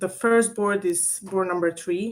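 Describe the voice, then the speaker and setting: This is a woman with a medium pitch. Her intonation stays fairly even. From Serbia. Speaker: bridge coach. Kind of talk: online lecture. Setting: video call. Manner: hesitant, many fillers.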